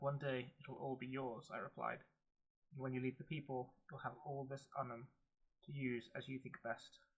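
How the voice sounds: What comes through is a natural reading voice.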